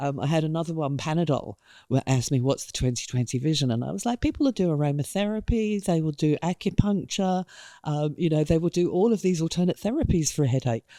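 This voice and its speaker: Very fast speech in a British accent on a very clean recording with a silent background. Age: 60s. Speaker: creative director. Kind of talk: interview.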